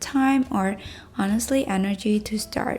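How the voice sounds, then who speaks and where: Medium pitch from a woman at a fairly slow pace, with ordinary pitch variation. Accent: non-native. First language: not English. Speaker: YouTuber and artist. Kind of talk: scripted vlog talk to camera.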